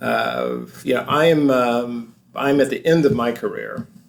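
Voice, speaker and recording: A man's medium-pitched voice with ordinary pitch variation over noticeable background noise. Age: 60s. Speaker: lawyer and author. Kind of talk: interview. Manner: halting, many fillers.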